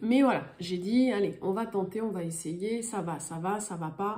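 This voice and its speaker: Noticeable background noise and audible room echo surround a woman speaking at a fairly slow pace with lively intonation. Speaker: tarot card reader. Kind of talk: astrology guidance reading. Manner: hesitant, many filler sounds.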